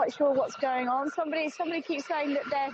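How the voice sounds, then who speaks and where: This woman speaks with an English accent at a high pitch. Her intonation is lively and her pace fairly quick. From England. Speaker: tour guide. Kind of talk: live guided tour. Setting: outdoors in the desert. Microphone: phone on gimbal, clip mic.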